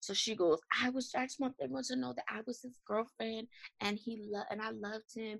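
This voice moves at a fairly quick pace with lively intonation and an unremarkable speaking voice. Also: woman, fairly high pitch for a woman. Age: 30s. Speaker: mother running a mothers' support organization. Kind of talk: interview testimony.

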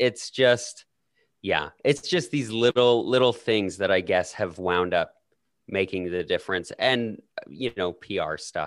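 Set against a quiet background, a plain, everyday voice speaks at a fairly slow pace with lively intonation. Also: man, medium pitch for a man. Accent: Canadian. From Canada. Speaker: podcaster guest. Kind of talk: casual chat.

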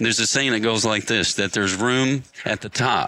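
A man with an American accent, medium-pitched, bright and sharp, at a fairly quick pace, on a very clean recording with a silent background. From upstate New York. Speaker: lawn care business owner and mentor. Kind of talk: motivational interview. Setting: live industry event. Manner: intense and passionate.

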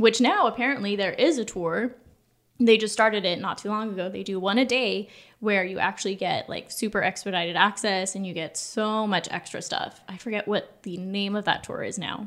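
A woman with an ordinary speaking voice and an American accent, at a fairly quick pace with ordinary pitch variation, on a very clean recording with a silent background. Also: medium pitch for a woman. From Southern California. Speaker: former theme park guest relations cast member. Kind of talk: casual chat.

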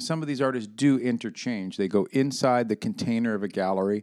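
A man talks with an American accent. He keeps a moderate pace. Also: very clean recording, silent background. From New York City. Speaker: podcast host. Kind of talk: casual banter, podcast chat. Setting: recording studio. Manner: casual, talkative, joking.

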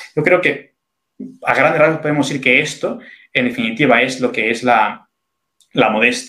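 Bright and sharp in tone, this voice moves at a moderate pace with ordinary pitch variation and long, frequent pauses. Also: man, medium pitch for a man. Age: 30s. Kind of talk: interview on faith and morality.

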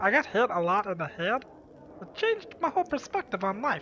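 In a put-on character voice, a female-sounding speaker with a fairly high pitch talks at a fairly quick pace against clear background noise.

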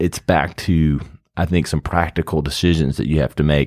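An American accent with fairly even intonation on a very clean recording with a silent background. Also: man. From South Carolina, US South. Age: 40s. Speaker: ad agency founder. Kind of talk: casual interview.

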